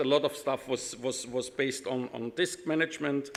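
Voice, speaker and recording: A man with a German accent at a moderate pace. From Austria, Vienna. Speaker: IT consultant, conference speaker. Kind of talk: conference talk. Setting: stage with audience. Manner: halting, many fillers.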